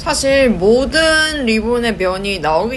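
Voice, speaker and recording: At a very slow pace, a woman with fairly high pitch and very wide pitch swings speaks amid noticeable background noise and audible room echo. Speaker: knitting and craft YouTuber. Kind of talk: tutorial. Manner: casual, chatty.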